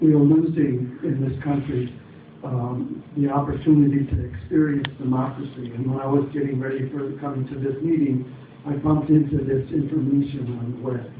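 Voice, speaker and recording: Amid noticeable background noise and audible room echo, a man speaks at a moderate pace with a fairly high pitch and monotone, flat intonation. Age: 70s. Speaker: audience member. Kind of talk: public forum question.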